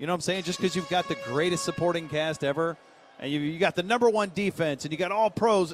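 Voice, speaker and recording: Speaking at a very fast pace with an energetic tone and ordinary pitch variation, a man is heard over noticeable background noise. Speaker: sports radio co-host. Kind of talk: live radio play-by-play of football practice. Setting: outdoors at team practice. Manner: rapid, energetic play-by-play, clipped yard-line updates; casual, laughing banter with filler uhs.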